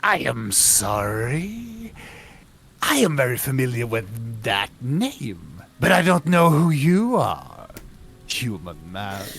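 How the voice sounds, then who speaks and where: Someone in a put-on character voice talks at a very slow pace, pitched low-to-middle. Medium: actual play. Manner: aloof, formal, condescending.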